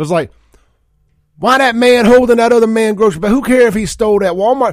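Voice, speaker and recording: Talking very fast, a man with a Southern US accent speaks in a high voice. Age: 40s. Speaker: radio host. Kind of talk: talk radio show. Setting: radio studio.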